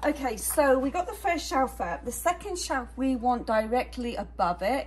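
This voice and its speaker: Noticeable background noise surrounds this voice. A woman speaks with a British accent. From England. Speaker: DIY creator. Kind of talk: DIY tutorial talk to camera. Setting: garage. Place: garage. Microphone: phone near.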